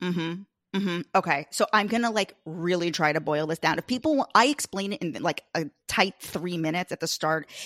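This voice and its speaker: A woman with an American accent in a normal speaking voice, fairly low in pitch, with lively intonation at a fairly quick pace, in a dry, close sound with no echo and a very clean recording with a silent background. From US Northeast (Long Island, New York). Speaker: podcast host, guest. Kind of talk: casual chat.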